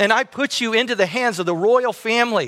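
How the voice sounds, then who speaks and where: On a very clean recording with a silent background, a man raises and projects a high-pitched voice with a bright, sharp tone. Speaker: pastor. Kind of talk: sermon. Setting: church.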